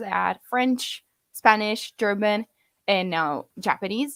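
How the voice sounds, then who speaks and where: A woman speaks in an Italian accent with a fairly high pitch. Her intonation is lively. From Italy. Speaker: language learning content creator. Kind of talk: casual chat. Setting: livestream. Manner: halting.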